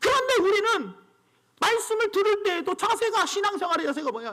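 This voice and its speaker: In a raised, projected voice with a bright, sharp tone, a man speaks at an extremely high pitch, with a fairly quick pace and lively intonation. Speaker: pastor. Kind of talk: sermon. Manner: brisk, clear delivery.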